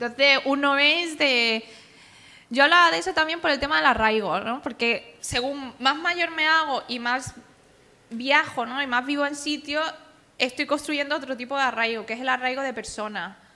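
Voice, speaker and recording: The voice is raised and projected, with a bright, sharp tone. It moves at a moderate pace with ordinary pitch variation. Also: woman, high pitch for a woman. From Andalusia, Spain. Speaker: author and cartoonist. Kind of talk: public talk.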